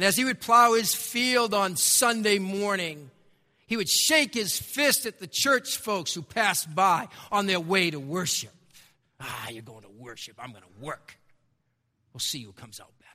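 In a raised, projected voice with a bright, sharp tone, a man with a high pitch speaks at a moderate pace with very wide pitch swings on a very clean recording with a silent background. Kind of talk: sermon. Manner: conversational and self-deprecating, with wry humor and storytelling; earnest and emphatic, repeating key phrases for effect.

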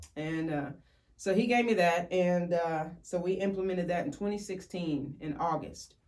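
Audible room echo around a woman's fairly low pitch, with ordinary pitch variation and a fairly slow pace. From Kentucky, Woodford County. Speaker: ministry area representative. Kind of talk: testimony.

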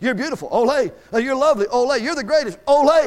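The voice is animated in tone and fairly quick, with ordinary pitch variation. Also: man. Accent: Southern US. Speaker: Baptist preacher. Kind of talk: sermon. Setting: church. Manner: animated, joking, rousing call-and-response with the congregation.

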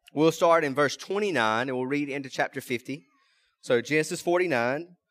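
In a Mississippi accent, a man speaks at a fairly slow pace with fairly high pitch and ordinary pitch variation. The recording is very clean, with a silent background. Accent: Southern US (Mississippi). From US South, rural South Mississippi. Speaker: pastor. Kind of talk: sermon. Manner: halting.

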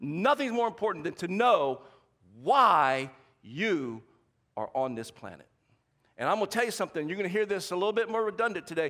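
A high-pitched man talks at a fairly quick pace with a bright, sharp, animated tone and very wide pitch swings. Long, frequent pauses break up his speech in a very clean recording with a silent background. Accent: American. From US South. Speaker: pastor. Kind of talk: sermon. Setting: church with congregation.

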